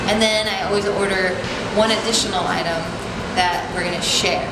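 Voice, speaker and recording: A woman speaks with audible room echo and loud background noise. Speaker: vlog host. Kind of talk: casual vlog chat. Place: cafe. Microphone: phone near.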